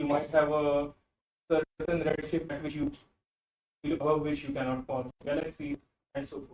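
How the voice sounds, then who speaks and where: A man with a fairly high pitch speaks at a moderate pace in a monotone, flat intonation, with long, frequent pauses. Audible room echo surrounds his voice. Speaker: physics lecturer. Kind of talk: lecture. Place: classroom.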